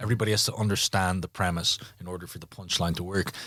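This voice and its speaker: In an Irish accent, a man talks at a very fast pace with ordinary pitch variation, the sound dry and close with no echo. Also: very clean recording, silent background. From Ireland. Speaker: stand-up comedian. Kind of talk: interview answer.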